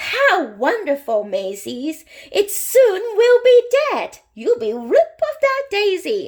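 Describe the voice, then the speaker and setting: A woman uses a squeaky, put-on character voice at an extremely high pitch. She speaks at a very slow pace with very wide pitch swings. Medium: read story. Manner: brisk, scolding.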